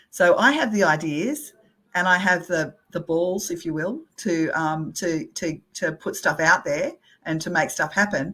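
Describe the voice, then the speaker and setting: An Australian accent colors this woman's bright, sharp voice at a fairly slow pace. The recording is very clean with a silent background. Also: fairly low pitch for a woman, lively intonation. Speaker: real estate company CEO. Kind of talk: interview conversation.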